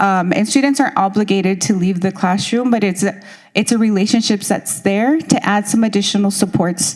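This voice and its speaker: A woman with a Spanish accent speaks at a moderate pace, medium in pitch with ordinary pitch variation. Noticeable background noise runs underneath. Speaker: school district education director. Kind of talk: presentation at consultation meeting. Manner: hesitant, many fillers.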